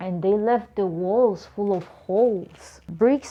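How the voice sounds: A natural reading voice whose pitch varies in ordinary ways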